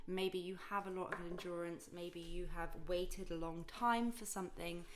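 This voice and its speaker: A woman speaks in a calm tone at a fairly slow pace and a medium pitch. Audible room echo and noticeable background noise surround her voice. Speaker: tarot reader. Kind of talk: tarot reading to camera.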